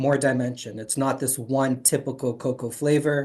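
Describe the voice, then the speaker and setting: Against a quiet background, a man talks at a moderate pace. He has a normal speaking voice with fairly even intonation. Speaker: chocolate interview show host. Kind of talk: interviewer questions.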